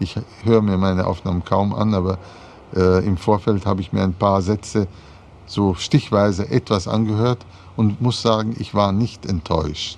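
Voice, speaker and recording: The man speaks with fairly even intonation at a fairly low pitch. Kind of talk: interview answer. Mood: reflective, calm. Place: garden.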